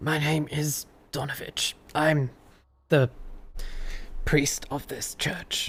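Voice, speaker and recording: A put-on character voice, raspy and low-to-middle in pitch, moves at a very slow pace. It has long, frequent pauses. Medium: actual play.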